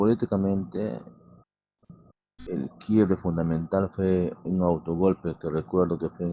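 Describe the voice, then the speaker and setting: Music plays behind a man with a very deep, low pitch. He speaks at a fairly slow pace with fairly even intonation. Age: 60s. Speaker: electrical engineer. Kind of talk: interview.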